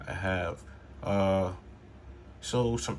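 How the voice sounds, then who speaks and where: A man's very deep, low-pitched voice with vocal fry. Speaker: toy battle reviewer. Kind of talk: casual talk to camera.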